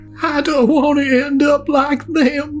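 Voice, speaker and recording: A soft-spoken, high-pitched, put-on character voice. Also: fairly slow pace. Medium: read story. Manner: soft, panicked, choked with sobs.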